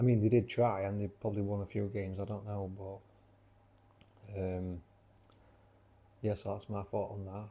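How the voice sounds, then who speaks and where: With a South Yorkshire accent, a man speaks at a moderate pace in a fairly low pitch and a dark, mellow tone, his intonation monotone and flat, with long, frequent pauses. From South Yorkshire, Sheffield. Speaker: vlogger. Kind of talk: casual vlog talk. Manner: rambling, hesitant with many fillers.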